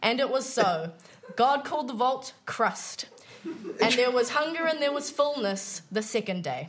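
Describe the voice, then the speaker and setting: A high-pitched woman with lively intonation at a fairly slow pace, noticeable background noise behind her. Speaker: microbiologist and improviser. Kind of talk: comedy quiz show, casual banter.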